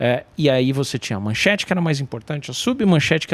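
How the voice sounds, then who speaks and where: With a fairly high pitch, a man talks at a fairly quick pace. The sound is dry and close with no echo, though noticeable background noise is present. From Brazil, São Paulo. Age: 40s. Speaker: journalist. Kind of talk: interview conversation.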